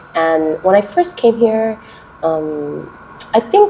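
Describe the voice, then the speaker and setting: A woman at medium pitch with an American accent, over noticeable background noise. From US West Coast, Los Angeles. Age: 30s. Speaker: kindergarten English teacher. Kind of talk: interview. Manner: hesitant, many fillers.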